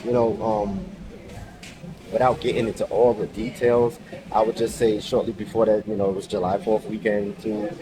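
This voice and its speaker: A quiet man talks at a moderate pace amid noticeable background noise. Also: ordinary pitch variation. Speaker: vlogger in recovery. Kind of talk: personal testimony vlog. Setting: outdoors on a ferry. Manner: quiet, low voice; halting, many fillers.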